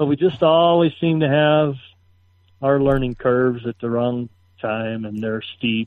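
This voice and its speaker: A man speaks in a normal speaking voice at a medium pitch. His pace is fairly slow, with ordinary pitch variation. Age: 50s. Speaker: off-road race truck driver. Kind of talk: casual chat.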